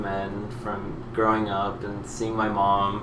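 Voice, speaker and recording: A man speaks in a fairly low, monotone, flat voice. Noticeable background noise and audible room echo fill the recording. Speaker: drag queen vlogger. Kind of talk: personal monologue vlog. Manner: halting, many fillers.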